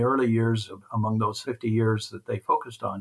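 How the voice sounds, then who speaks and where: The recording is pristine and the background is silent. On it, a man talks in a mid-range pitch. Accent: Midwestern US. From central Kansas. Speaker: retired dairy magazine editor. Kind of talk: interview.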